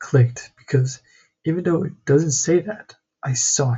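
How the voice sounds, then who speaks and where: Somewhat breathy, a man talks at a medium pitch. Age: 20s. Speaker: vlogger, entrepreneur. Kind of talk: personal vlog monologue.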